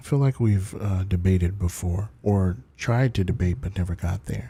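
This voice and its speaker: A soft-spoken man at fairly low pitch, somewhat breathy with a dark, mellow tone, at a moderate pace on a very clean recording with a silent background. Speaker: livestreamer. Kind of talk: casual chat. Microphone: good mic.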